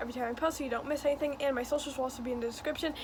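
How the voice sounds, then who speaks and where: Over noticeable background noise, a woman speaks very fast at a high pitch with fairly even intonation. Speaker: YouTuber. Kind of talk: casual commentary video. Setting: filming on bedroom floor at home. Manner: quiet, holding voice down.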